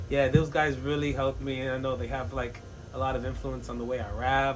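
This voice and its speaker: The recording has audible room echo and noticeable background noise. A man's speech moves at a fairly quick pace. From Jamaica and England. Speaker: rapper. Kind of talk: casual chat. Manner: animated.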